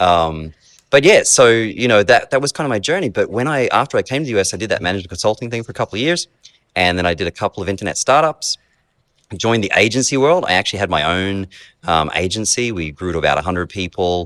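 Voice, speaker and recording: The speech comes at a very fast pace with lively intonation and an Australian accent. The sound is dry and close, with no echo. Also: man, fairly low pitch for a man. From Australia (rural Queensland cane farms). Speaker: software company executive. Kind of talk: interview. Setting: basement of a beer hall restaurant.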